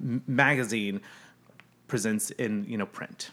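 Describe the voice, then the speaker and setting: On a very clean recording with a silent background, a man with an unremarkable speaking voice talks at a medium pitch and a moderate pace, with ordinary pitch variation and an American accent. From US Midwest. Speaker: brand strategist. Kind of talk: casual chat.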